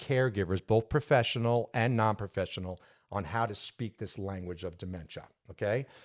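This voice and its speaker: A man's fairly low voice in a New York accent, with ordinary pitch variation. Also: very clean recording, silent background. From New York, Long Island. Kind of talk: interview conversation.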